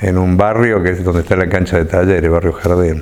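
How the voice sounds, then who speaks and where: A very deep, low male voice amid noticeable background noise and audible room echo. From Argentina, Córdoba. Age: 50s. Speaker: left-wing politician. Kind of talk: interview. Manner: halting, with many repetitions.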